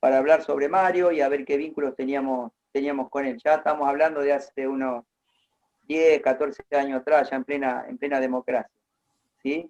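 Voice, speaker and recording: A man speaks at a moderate pace with fairly high pitch and fairly even intonation. The sound is dry and close, with no echo. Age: 60s. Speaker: interviewee recounting local history. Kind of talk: oral history interview.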